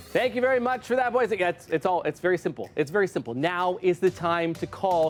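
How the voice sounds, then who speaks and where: With music playing behind him, a man speaks in a high voice with lively intonation and an animated tone. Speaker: telethon host. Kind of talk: live fundraising appeal. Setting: live TV studio. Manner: fast.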